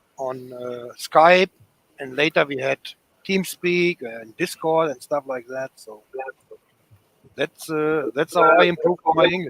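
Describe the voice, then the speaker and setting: A fairly high-pitched man with a German accent, ordinary pitch variation, big swings in loudness, a fairly slow pace and long, frequent pauses. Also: dry, close sound with no echo. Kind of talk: casual chat. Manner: halting.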